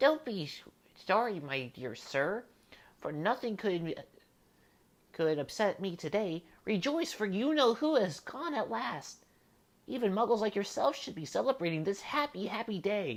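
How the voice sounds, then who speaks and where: In a squeaky put-on character voice at a fairly high pitch, the speaker moves at a moderate pace with very wide pitch swings. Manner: cheerful, delighted.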